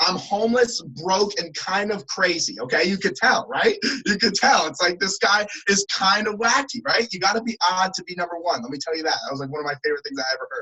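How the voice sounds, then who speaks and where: A man speaks in a high, raised, projected voice with a New Jersey accent. His animated delivery moves at a fairly quick pace with very wide pitch swings. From New Jersey (Trenton). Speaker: motivational speaker. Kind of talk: motivational talk.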